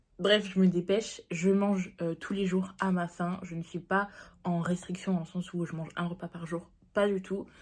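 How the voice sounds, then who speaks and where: A woman's somewhat breathy voice at a medium pitch, moderate pace and flat, monotone intonation. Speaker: diet vlogger. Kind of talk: casual vlog talk to camera.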